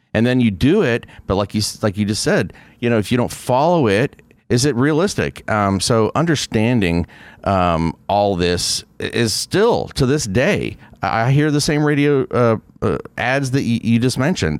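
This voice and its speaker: An ordinary speaking voice from a man, with lively intonation at a moderate pace. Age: 50s. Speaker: podcast host. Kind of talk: interview. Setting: studio.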